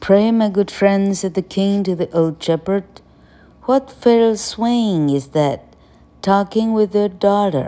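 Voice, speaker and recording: With a dark, mellow tone at medium pitch, a woman speaks at a very slow pace. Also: ordinary pitch variation. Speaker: English teacher. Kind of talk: reading aloud; lecture. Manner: halting.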